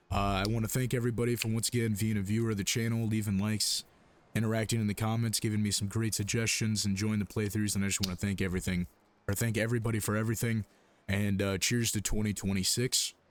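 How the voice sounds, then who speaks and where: A man talks at a very fast pace in a fairly low pitch. His intonation is monotone and flat. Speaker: gaming YouTuber. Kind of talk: gameplay commentary. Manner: casual, with filler words.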